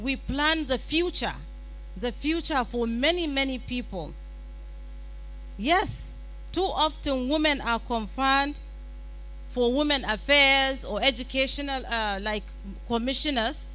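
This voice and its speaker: A woman's raised, projected voice, high in pitch with ordinary variation, at a fairly slow pace with long, frequent pauses and audible room echo. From Nigeria, Katsina. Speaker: summit speaker, women's advocate. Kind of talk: conference speech.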